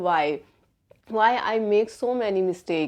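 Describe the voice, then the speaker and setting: At a fairly high pitch, a woman talks at a fairly slow pace. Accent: Indian. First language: Hindi. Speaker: English learner vlogger. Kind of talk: casual vlog talk. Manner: halting, many fillers.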